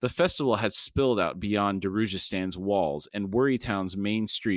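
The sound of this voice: Pitch varying in an ordinary way, an unforced reading voice.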